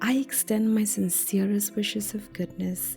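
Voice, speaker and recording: Music plays behind a woman whose speech moves fairly slowly. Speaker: podcast host. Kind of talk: motivational self-help podcast talk. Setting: home recording. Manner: sleepy.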